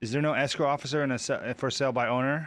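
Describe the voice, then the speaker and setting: Very fast delivery in monotone, flat intonation, in a very clean recording with a silent background. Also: man. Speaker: real estate exam prep YouTuber. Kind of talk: live stream, reading and working through practice questions. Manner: thinking aloud, hesitant.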